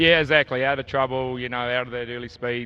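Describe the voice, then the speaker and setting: Here a man with a New Zealand accent is speaking. His voice is of medium pitch and his pace is very fast. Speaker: harness racing driver. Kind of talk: post-race interview. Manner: hesitant, many fillers.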